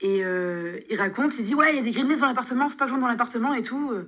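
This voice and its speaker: A woman at a very fast pace, high-pitched, bright and sharp in tone, with ordinary pitch variation. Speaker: student. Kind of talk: recorded testimony.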